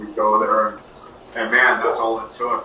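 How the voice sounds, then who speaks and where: A man with an American accent is heard with noticeable background noise and audible room echo. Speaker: blues musician. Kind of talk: interview.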